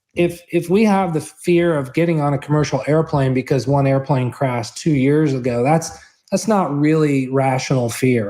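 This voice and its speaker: At a moderate pace, a man speaks in an ordinary speaking voice, fairly high in pitch with ordinary variation and very even loudness. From Kansas. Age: 50s. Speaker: orthopedic surgeon and investor. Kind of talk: interview.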